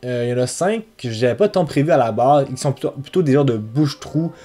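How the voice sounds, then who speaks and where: With a fairly high pitch and a dark, mellow tone, a man talks at a fairly quick pace with lively intonation. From Quebec City, French mother. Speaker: travel vlogger. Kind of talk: casual year-in-review vlog. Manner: hesitant, many fillers.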